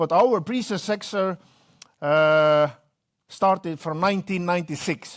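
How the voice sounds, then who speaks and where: A man with an Estonian accent speaks at a high pitch and fairly slow pace, with ordinary pitch variation. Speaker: company executive. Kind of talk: business presentation.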